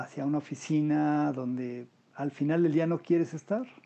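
This is a man speaking. His pitch is fairly high. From Mexico City. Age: 50s. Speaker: unemployed graphic designer. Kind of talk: interview.

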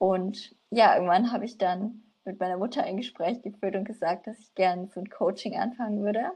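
Speaking at a fairly quick pace with hardly any pauses, a woman has a medium pitch, a dark, mellow tone, fairly even intonation and big swings in loudness. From Franconia, Germany (Nürnberg). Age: 20s. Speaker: coaching client, student. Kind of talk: casual interview.

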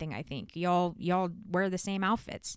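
A woman speaks in a playful tone on a very clean recording with a silent background. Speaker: podcast host. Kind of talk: casual interview chat. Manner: joking, playful.

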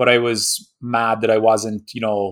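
With an Irish accent, a man talks in a medium pitch and fairly even intonation on a very clean recording with a silent background. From Ireland. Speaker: golf fitness trainer. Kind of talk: podcast interview.

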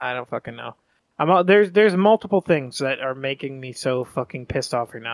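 Speaking at a very fast pace, a fairly high-pitched man uses lively intonation and big swings in loudness. The recording is very clean with a silent background and a dry, close sound with no echo. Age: 30s. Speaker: podcast co-host. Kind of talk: casual chat.

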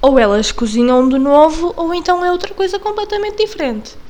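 With a European Portuguese accent, a woman talks at a moderate pace while her pitch swings very widely. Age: 20s. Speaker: podcast host. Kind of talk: casual monologue. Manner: halting.

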